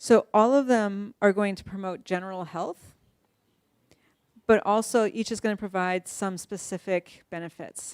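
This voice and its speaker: A woman with a normal speaking voice, medium pitch, fairly even intonation, a fairly slow pace and big swings in loudness, in a very clean recording with a silent background and a dry, close sound with no echo. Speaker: neuroscientist giving a talk. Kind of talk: lecture.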